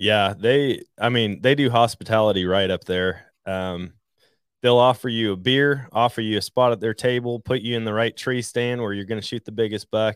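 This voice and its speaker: The man speaks in an American accent at a moderate pace and medium pitch. His intonation is fairly even, in a plain, everyday voice. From Wisconsin, Trempealeau County. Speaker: hunting podcaster. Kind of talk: casual chat.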